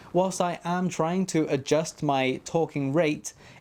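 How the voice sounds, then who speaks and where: The recording is very clean, with a silent background. The speaker has a British accent. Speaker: 3D printing YouTuber. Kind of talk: tutorial. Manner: fast.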